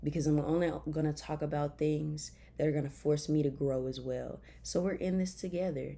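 A woman speaks with a Memphis accent. Her pace is moderate. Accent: Southern US (Memphis). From Memphis, Tennessee (US South). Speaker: podcast host. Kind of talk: casual faith talk. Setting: bedroom, recording on laptop.

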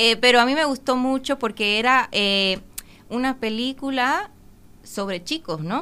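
Using a high pitch and a bright, sharp tone, a woman speaks at a fairly slow pace with long, frequent pauses and lively intonation. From Dominican Republic. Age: 20s. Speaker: ballet dancer. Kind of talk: interview.

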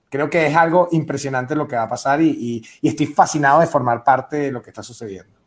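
A man with a Venezuelan accent at a fairly high pitch, talking very fast with hardly any pauses and big swings in loudness. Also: ordinary pitch variation. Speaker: stand-up comedian. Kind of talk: panel discussion. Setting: video call from Mexico City.

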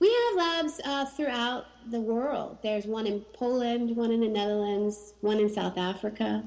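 Lively intonation marks a woman's unremarkable speaking voice. She keeps a moderate pace. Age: 40s. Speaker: horticulturist and plant introducer. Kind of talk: interview. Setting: at home in dining room.

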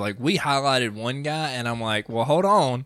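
A man with an ordinary speaking voice, moderate pace and ordinary pitch variation, on a very clean recording with a silent background. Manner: joking.

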